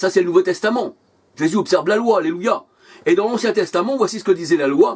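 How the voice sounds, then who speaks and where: A man's high-pitched voice with lively intonation. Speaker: preacher. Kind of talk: sermon.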